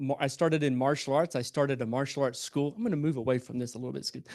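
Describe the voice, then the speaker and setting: A man speaks with a Southern US accent against a quiet background. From US South, Albany, Georgia. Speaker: entrepreneur and speaker. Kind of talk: motivational talk to live audience. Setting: stage with audience. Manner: animated; stammering restarts.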